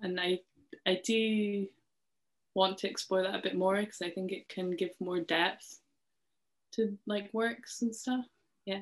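A woman talks in a monotone with flat intonation, pausing long and often. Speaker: interviewee. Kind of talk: interview answer. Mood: friendly, slightly self-conscious. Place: home room. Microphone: video call.

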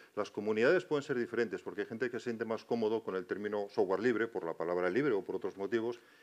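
A man talks. He goes at a very fast pace. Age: old. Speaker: university professor. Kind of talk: panel discussion. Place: stage.

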